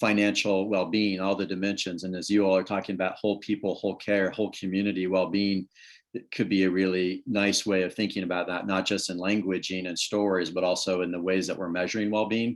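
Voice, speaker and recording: A man talks at a very fast pace with hardly any pauses, his pitch very deep and low. His intonation is monotone and flat, on a very clean recording with a silent background. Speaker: public health speaker. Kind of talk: presentation.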